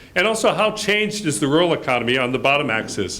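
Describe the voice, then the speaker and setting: Fairly high in pitch, a man talks at a fairly quick pace with lively intonation. Audible room echo surrounds his voice. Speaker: report presenter at a development launch. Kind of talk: presentation of research findings. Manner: loud.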